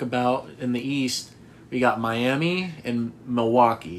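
A man with an American accent, a medium pitch, a fairly slow pace and a plain, everyday voice. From US Northeast, Boston. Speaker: sports podcast co-host. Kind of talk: casual chat.

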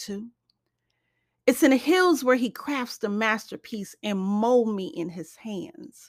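A woman with a plain, everyday voice speaks fairly slowly at a fairly high pitch with lively intonation, captured in a very clean recording with a silent background. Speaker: poet and author. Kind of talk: spoken word poetry reading, devotional and prayerful. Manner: rhythmic, earnest, sing-song cadence; warm, reverent, heartfelt.

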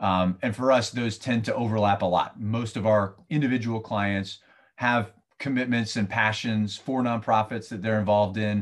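In a plain, everyday voice, a man speaks at a moderate pace and fairly low pitch with fairly even intonation against a quiet background. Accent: American. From US Southeast. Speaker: financial firm representative. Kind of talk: interview. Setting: remote recording.

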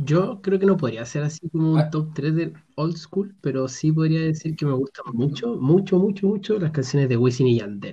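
A man with a Chilean accent, fairly high in pitch yet dark and mellow in tone, at a moderate pace with lively intonation and hardly any pauses. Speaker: podcast co-host. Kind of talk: casual chat.

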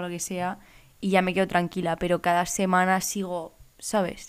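A woman's medium-pitched voice with monotone, flat intonation, in a very clean recording with a silent background. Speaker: podcast co-host, law student. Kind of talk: casual chat.

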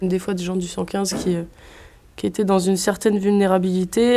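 The woman speaks at a moderate pace. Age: 20s. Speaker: agronomy student and squat activist. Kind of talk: interview; casual chat. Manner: hesitant.

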